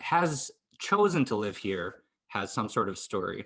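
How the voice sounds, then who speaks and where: A man speaks in a medium pitch with an American accent. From US Northeast, rural central Maine. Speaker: immigrant interviewee. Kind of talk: interview. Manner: hesitant.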